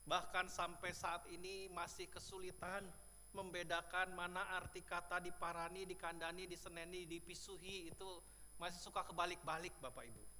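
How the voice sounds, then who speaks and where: In audible room echo, a man with a high pitch and bright, sharp tone speaks in a monotone, flat intonation. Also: moderate pace. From Indonesia, Bandung (West Java, Sundanese). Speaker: pastor. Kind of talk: sermon. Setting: church.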